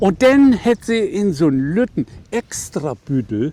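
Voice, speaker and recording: A man with a northern German accent speaks at a very slow pace in a dark, mellow tone. His pitch swings very widely. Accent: Low German (Plattdeutsch) northern German. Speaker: author. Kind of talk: reading aloud.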